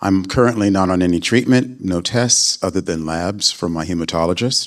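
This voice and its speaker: A man's very deep, low-pitched voice with ordinary pitch variation. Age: 60s. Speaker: patient panelist, business consultant. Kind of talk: panel self-introduction.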